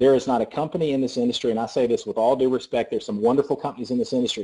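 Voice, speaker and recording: A man talks very fast in a Southern US accent. His tone is dark and mellow over a quiet background. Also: medium pitch for a man. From US South. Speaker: network marketing presenter. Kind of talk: sales pitch. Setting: conference call. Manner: animated.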